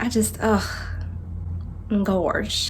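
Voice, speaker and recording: A woman's voice with an American accent, over noticeable background noise. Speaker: vlogger. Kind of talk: storytelling. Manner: animated.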